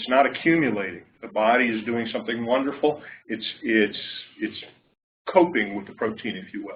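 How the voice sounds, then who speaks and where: Speaking at a moderate pace with lively intonation, a man is heard with audible room echo. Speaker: clinician researcher. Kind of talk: lecture. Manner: loud. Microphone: far from the mic.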